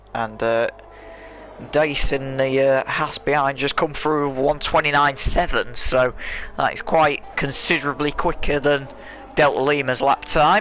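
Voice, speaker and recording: Noticeable background noise sits behind a man with a fairly high pitch. He speaks at a fairly slow pace with fairly even intonation. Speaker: sim racing commentator. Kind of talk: live commentary.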